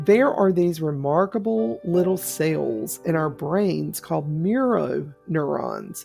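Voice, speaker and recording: A woman speaks in a Southern US accent at a fairly slow pace. Music plays in the background. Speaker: public speaker giving a talk. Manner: conversational, storytelling.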